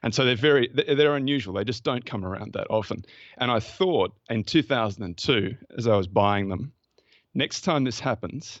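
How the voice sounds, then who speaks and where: An Australian man talks with lively intonation. His pitch sits in the medium range. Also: moderate pace. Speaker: investment fund manager. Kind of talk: podcast interview.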